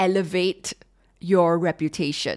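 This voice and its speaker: In a Singaporean accent, a woman speaks at a fairly slow pace in a dry, close sound with no echo, on a very clean recording with a silent background. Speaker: podcast host and leadership consultant. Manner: informal, frank, conversational.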